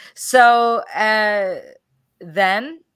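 A woman speaks with lively intonation at a fairly high pitch. The recording is very clean, with a silent background. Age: 60s. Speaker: holistic health teacher and coach. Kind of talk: casual chat. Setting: live stream.

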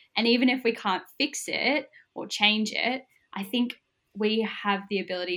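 Her tone bright and sharp, a woman with an Australian accent talks at a fairly slow pace with ordinary pitch variation. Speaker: social work student. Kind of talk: interview.

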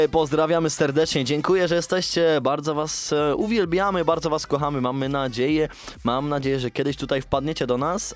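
With music in the background, a man speaks at a fairly high pitch using ordinary pitch variation. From Poland, Kuyavia-Pomerania region. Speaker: radio host. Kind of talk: casual radio show chat. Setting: studio. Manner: animated.

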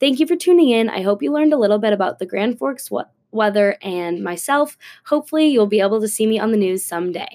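A woman's fairly high, dark and mellow voice with an American accent, very fast delivery and very wide pitch swings. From Minnesota, Minneapolis area. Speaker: university student. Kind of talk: scripted student podcast monologue.

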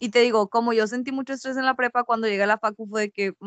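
A woman with an unremarkable speaking voice talks at a fairly quick pace, her pitch fairly high. Intonation stays fairly even, and the sound is dry and close with no echo. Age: 20s. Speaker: university student. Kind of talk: casual chat. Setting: recorded at night.

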